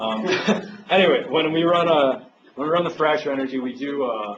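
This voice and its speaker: A man speaks with lively intonation amid noticeable background noise and audible room echo. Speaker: master's student presenting research. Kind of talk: seminar Q&A. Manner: fast.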